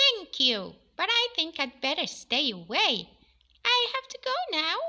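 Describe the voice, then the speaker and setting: Squeaky put-on character voice from a woman, extremely high-pitched with very wide pitch swings, at a fairly slow pace. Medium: read story.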